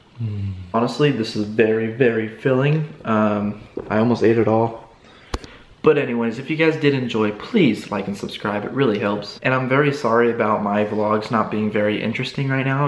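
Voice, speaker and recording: A man's fairly even delivery, with audible room echo. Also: moderate pace. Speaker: vlogger. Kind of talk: casual vlog chat. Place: kitchen. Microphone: phone near.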